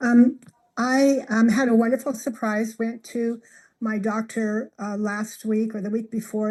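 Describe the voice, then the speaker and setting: Against a quiet background, a woman speaks at a fairly high pitch with a dark, mellow tone that is somewhat breathy. Her intonation is fairly even and her pace moderate. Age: 70s. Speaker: product user sharing testimonial. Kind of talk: testimony. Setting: video call. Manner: halting.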